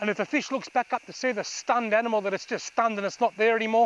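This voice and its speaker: Against light background noise, a man with a high pitch speaks in fairly even intonation, the sound dry with no echo. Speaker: fishing instructor. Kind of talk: tutorial. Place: waterside.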